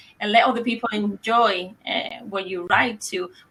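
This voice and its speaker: A woman's fairly high voice with a Spanish accent, bright and sharp in tone, at a fairly slow pace with fairly even intonation. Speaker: interviewer, channel host. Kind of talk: interview.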